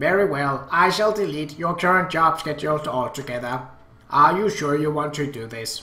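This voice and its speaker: A robotic, put-on character voice at a moderate pace. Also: man, fairly high pitch for a man. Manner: formal, polite.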